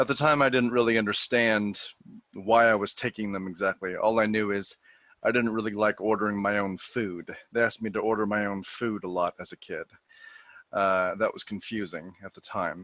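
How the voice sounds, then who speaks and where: A man with a West Coast accent, a fairly low pitch, a bright, sharp tone and fairly even intonation, at a moderate pace with big swings in loudness, in a very clean, silent recording that is dry and close with no echo. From US Pacific Northwest, Portland, Oregon. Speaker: person who stutters, coaching program graduate. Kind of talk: podcast interview, personal story.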